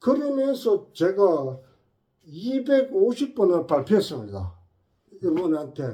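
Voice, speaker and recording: Very slowly, a man speaks in a high, dark, mellow voice. His pitch swings very widely. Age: 70s. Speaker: health channel host. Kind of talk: informal health talk. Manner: conversational, frequent filler 예?.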